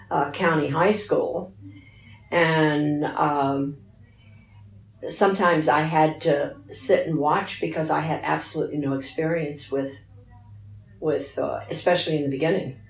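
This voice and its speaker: Through noticeable background noise, a woman with an American accent speaks at a very deep, low pitch, with fairly even intonation and long, frequent pauses. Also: fairly slow pace. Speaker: retired teacher. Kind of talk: interview answer.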